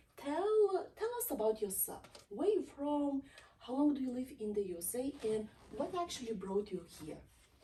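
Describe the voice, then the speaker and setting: Somewhat breathy, with a dark, mellow tone, a woman talks at a moderate pace with lively intonation. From Eastern Europe. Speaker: talk show host. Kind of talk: interview.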